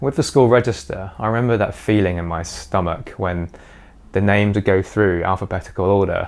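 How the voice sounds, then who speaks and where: A confident man with a British accent, fairly low pitch, ordinary pitch variation and a fairly quick pace, in a very clean recording with a silent background. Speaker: YouTuber sharing personal experience. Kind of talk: personal vlog monologue. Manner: confident, fluent.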